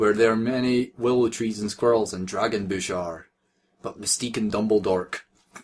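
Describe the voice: Set against a quiet background, this plain reading aloud has ordinary pitch variation.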